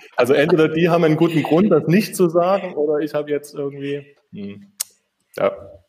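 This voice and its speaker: Speaking fairly quickly with a slight Saxon accent, the man has a fairly high pitch and ordinary pitch variation. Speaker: architect. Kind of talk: interview. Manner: halting, many filler sounds.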